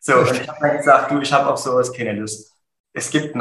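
Audible room echo surrounds this man's speech. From Saxony, Germany (Dresden). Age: 30s. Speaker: insurance agency owner. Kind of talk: interview. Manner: dynamic.

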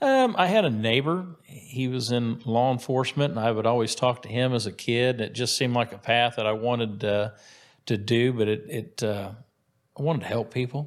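An ordinary speaking voice in an American accent moves at a moderate pace with ordinary pitch variation, recorded very cleanly against a silent background. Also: man, medium pitch for a man. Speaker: county sheriff. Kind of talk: interview. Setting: studio.

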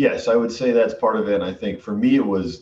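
Somewhat breathy, a man with an American accent speaks at a very fast pace, using ordinary pitch variation. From Western Massachusetts. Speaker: sales executive. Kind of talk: casual interview.

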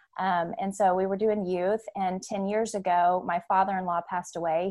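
This woman has a Southern US accent and a medium pitch. She speaks at a moderate pace with fairly even intonation. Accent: Southern US (Oklahoma). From Oklahoma City. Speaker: homeschooling mom and ranch owner. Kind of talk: casual interview about faith.

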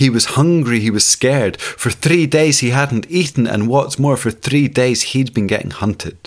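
A man speaks at a moderate pace with a Scottish accent. His medium pitch carries lively intonation. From Scotland. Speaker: storyteller. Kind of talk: storytelling.

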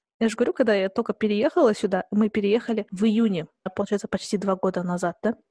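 Very fast and very even in loudness, a woman speaks in a somewhat breathy voice with a dark, mellow tone. The sound is dry and close with no echo. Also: medium pitch for a woman, ordinary pitch variation. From southern Kazakhstan. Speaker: podcast host. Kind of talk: casual chat.

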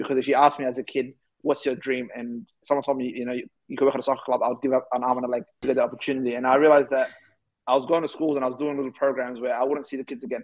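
A man with an Australian accent, medium pitch, monotone and flat intonation, and a very fast pace. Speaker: youth advocate and keynote speaker. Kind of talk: interview.

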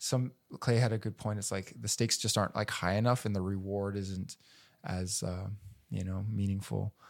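A man with a Canadian accent and an unremarkable speaking voice, fairly low in pitch, at a moderate pace, on a very clean recording with a silent background. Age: 30s. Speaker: outdoor filmmaker and YouTuber. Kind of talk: casual chat. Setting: in person.

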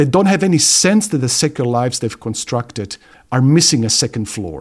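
A man with lively intonation and a medium pitch speaks in an unremarkable speaking voice. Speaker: theology professor and co-host. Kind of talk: casual conversation.

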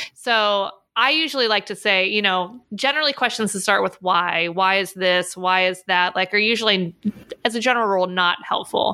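Her tone is bright and sharp. This woman speaks at a medium pitch with ordinary pitch variation. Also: moderate pace, very clean recording, silent background. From Pittsburgh, US. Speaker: podcast host, pet photographer. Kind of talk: casual interview.

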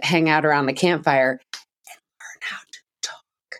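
Recorded very cleanly against a silent background, a woman speaks in a very deep, low pitch with ordinary pitch variation. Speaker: podcast co-host. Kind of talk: casual chat. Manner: loud.

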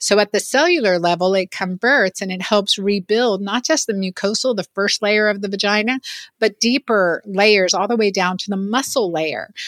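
In a very clean recording with a silent background, a woman with an ordinary speaking voice talks at a moderate pace and medium pitch, with ordinary pitch variation and a dry, close sound with no echo. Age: 50s. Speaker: physician. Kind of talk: interview.

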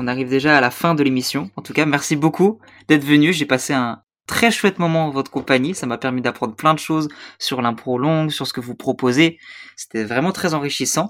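Recorded very cleanly over a silent background, a man with a normal speaking voice talks at a fairly quick pace, fairly high in pitch with ordinary pitch variation. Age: young. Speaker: podcast host. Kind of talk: casual chat.

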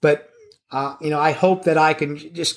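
A man speaks here. His pace is fairly slow. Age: 60s. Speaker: drum industry veteran and percussion teacher. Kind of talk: casual interview chat. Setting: video call.

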